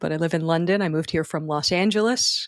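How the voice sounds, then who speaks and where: A woman talks at a moderate pace with a Philadelphia accent. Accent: Philadelphia American. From US, Philadelphia. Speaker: wedding speech writer. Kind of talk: podcast interview. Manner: halting.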